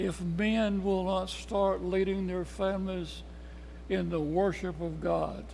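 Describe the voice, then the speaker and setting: A man with a Tennessee accent, speaking at a very slow pace, with audible room echo. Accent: Southern US (Tennessee). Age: 80s+. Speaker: Bible study teacher. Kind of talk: Bible study lesson.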